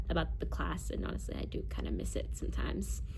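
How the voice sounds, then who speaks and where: Speaking fairly quickly, a woman is heard with audible room echo. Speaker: content creator and voice actor. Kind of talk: casual vlog talk. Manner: casual, filler-heavy.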